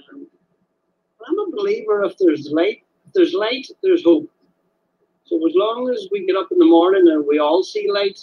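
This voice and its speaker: A man with an Irish accent talks at a moderate pace and an extremely high pitch, with very wide pitch swings, big swings in loudness, and long, frequent pauses. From Ireland, Donegal. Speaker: caller. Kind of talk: casual chat. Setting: phone call.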